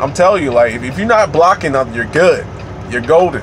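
A man speaks over noticeable background noise. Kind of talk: casual vlog chat. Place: car. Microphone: phone near.

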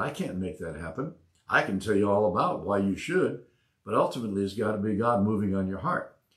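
The background is quiet as a man talks. Room echo is audible. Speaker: pastor, online Bible study host. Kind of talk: preaching, conversational sermon. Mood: calm, earnest. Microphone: lapel.

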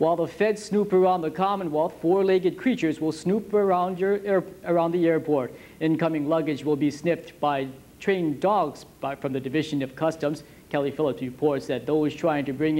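This man has a dark, mellow tone and a fairly high pitch. His pace is moderate, and his pitch varies in an ordinary way. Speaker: news anchor. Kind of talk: formal newsreading, polished TV anchor delivery with puns. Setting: studio. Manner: formal; smooth, scripted, steady broadcast pace. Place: studio. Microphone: lapel.

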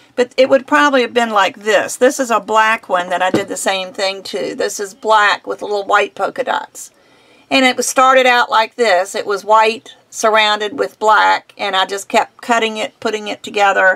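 A woman's bright, sharp tone carries ordinary pitch variation. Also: moderate pace. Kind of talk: tutorial. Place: home room.

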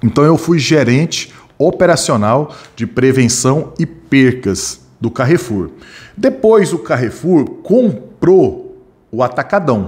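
A man speaks very slowly in a fairly high, somewhat breathy voice. His pitch swings very widely. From Brazil, Goiás. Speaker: security training instructor. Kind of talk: live online class. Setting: live stream studio. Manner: animated. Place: home room. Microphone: studio mic.

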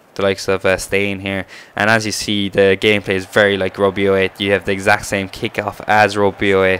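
A man with a fairly low pitch talks at a moderate pace in a flat monotone, with noticeable background noise. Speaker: gaming YouTuber. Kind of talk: video game review commentary. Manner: casual, hesitant.

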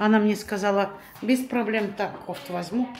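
Faint music sits in the background. A woman speaks at a fairly slow pace with ordinary pitch variation. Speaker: home vlogger. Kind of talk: casual vlog chat. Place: home room. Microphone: phone near.

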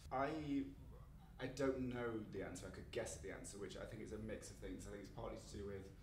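Speaking at a fairly quick pace with an East Midlands accent, a man is heard with light background noise and audible room echo. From England, East Midlands (Mansfield, Nottinghamshire); East Midlands, England. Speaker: playwright; interviewee. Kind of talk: casual interview. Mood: relaxed, self-deprecating. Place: home room.

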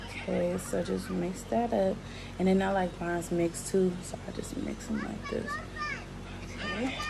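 A woman speaking at a moderate pace, with crowd noise in the background. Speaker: parent vlogger. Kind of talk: casual vlog chat. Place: home room. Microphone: phone near.

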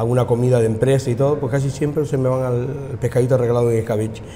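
A man talking at a very fast pace with fairly even intonation, light background noise behind him. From Buenavista del Norte, Tenerife; Tenerife. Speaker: restaurant owner. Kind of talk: casual chat. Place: cafe. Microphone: lapel.

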